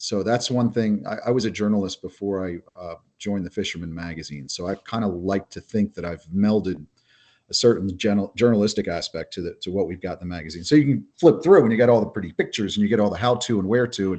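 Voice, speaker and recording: At a very fast pace, a man with a fairly low pitch and ordinary pitch variation speaks with big swings in loudness against a quiet background. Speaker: fishing magazine editor. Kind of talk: podcast interview.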